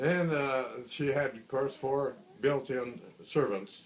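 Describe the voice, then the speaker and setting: A man speaks with an Upper Midwest accent. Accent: Upper Midwest American. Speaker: grandfather. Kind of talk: family storytelling, casual recollection. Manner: hesitant, many fillers.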